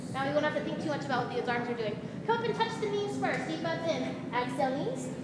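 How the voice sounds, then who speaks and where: A woman is heard with audible room echo. Loud background noise fills the clip. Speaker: fitness instructor. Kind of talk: workout instruction cueing. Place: gym. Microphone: camera far.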